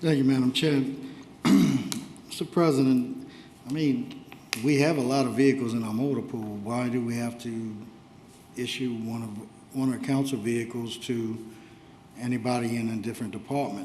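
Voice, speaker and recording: A quiet man of medium pitch speaks at a moderate pace with fairly even intonation and long, frequent pauses, and the room echo is audible. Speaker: council member. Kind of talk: council meeting discussion. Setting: council chambers. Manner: too quiet for the room.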